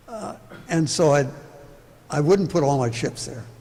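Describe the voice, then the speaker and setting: There is audible room echo around a man's voice. He talks at a moderate pace with ordinary pitch variation. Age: 80s+. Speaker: urban planning speaker. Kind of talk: public talk Q&A.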